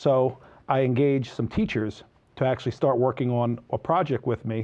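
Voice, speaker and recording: At a fairly quick pace, a man speaks with a New Jersey accent. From New Jersey (Sayreville). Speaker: entrepreneur, website founder. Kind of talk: interview.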